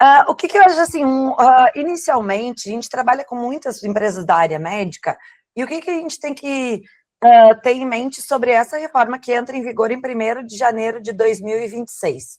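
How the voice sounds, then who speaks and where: A woman talks fairly quickly in a high pitch with lively intonation. Her loudness swings a lot. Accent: southern Brazilian. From southern Brazil, Rio Grande do Sul. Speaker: tax lawyer. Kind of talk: webinar presentation.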